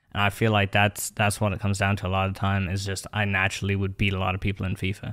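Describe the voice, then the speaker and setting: A man with an American accent talks at a very fast pace and a fairly low pitch in monotone, flat intonation. The recording is very clean, with a silent background. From Ireland. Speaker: esports player. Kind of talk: podcast interview.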